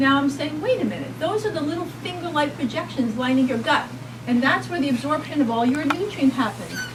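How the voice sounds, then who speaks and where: With audible room echo and noticeable background noise, a woman talks in a New York accent. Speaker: pediatric doctor speaking at a health rally. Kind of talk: public talk at a rally. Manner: animated.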